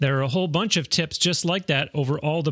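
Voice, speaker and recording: Against a quiet background, a man talks at a moderate pace with lively intonation in an ordinary speaking voice, the sound dry and close with no echo. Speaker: podcast host. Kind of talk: interview. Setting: studio.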